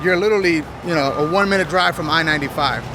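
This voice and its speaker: A man's high-pitched voice, dry with no echo, amid noticeable background noise. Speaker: real estate vlogger; real estate or area vlogger. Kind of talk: walking tour vlog; casual vlog chat. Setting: outdoors by a busy road. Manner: casual, filler-heavy. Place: street. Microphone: phone near.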